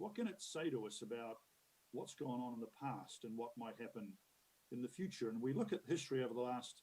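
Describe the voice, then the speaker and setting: With a New Zealand accent, a man talks at a fairly quick pace in a medium pitch, his tone dark and mellow and his intonation lively. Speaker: conference keynote speaker, future-of-work expert. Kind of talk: conference keynote talk. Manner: conversational, many fillers and repetitions.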